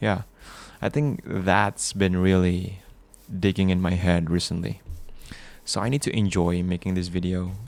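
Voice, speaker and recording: Speaking with a non-native accent, a man uses a very deep, low pitch with ordinary variation, a fairly slow pace and long, frequent pauses. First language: not English. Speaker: gaming sleep video creator. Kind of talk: casual gameplay commentary for sleep. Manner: slow, relaxed; halting.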